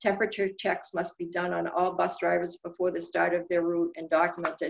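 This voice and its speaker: A woman talks at a fairly quick pace. Her intonation is monotone and flat. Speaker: lawyer. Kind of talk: webinar presentation. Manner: fast.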